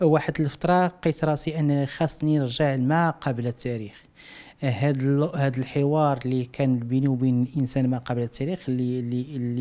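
The intonation stays fairly even as the speaker moves at a moderate pace. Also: man. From Morocco, Casablanca. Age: 40s. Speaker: visual artist. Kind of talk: interview. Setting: at home. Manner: halting. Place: home room. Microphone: handheld.

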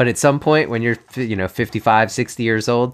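Here is an ordinary speaking voice, a man at a medium pitch. He keeps a moderate pace on a very clean recording with a silent background. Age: 50s. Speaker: podcast host. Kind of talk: podcast interview.

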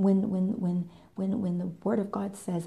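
The pace is fairly slow. It is a woman talking. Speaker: faith vlogger. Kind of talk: sermon-like vlog talk. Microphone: phone near.

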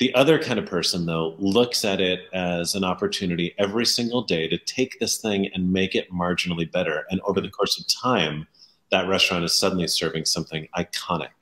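A man's very deep, low voice at a fairly quick pace, with ordinary pitch variation. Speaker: interview guest. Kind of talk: interview answer. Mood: enthusiastic, warm. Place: home room.

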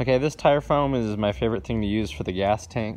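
A man with an ordinary speaking voice talks at a fairly quick pace, with ordinary pitch variation. There is light background noise. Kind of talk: casual vlog chat. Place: garage. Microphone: phone near.

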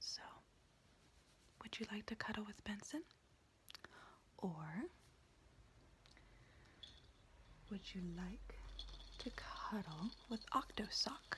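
Soft-spoken and soothing, a woman talks at a very slow pace with long, frequent pauses over noticeable background noise. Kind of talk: soft roleplay address to viewer. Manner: soft, close, soothing ASMR voice. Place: home room. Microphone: phone near.

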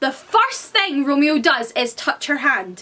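A woman with a Scottish accent speaks in a raised, projected voice at a high pitch. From Scotland. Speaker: book vlogger. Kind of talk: casual educational talk to camera. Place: home room. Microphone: camera far.

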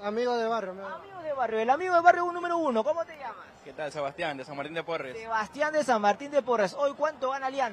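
An animated, very fast delivery with hardly any pauses, a dry sound with no echo and light background noise. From Peru. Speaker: sports reporter. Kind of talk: live street reporting and fan interviews. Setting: outdoors outside a stadium among fans. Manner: fast, animated. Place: street. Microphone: handheld.

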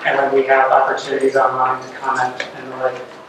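The speech moves at a fairly quick pace, with strong room echo and noticeable background noise. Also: man. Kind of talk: meeting presentation. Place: meeting room. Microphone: camera far.

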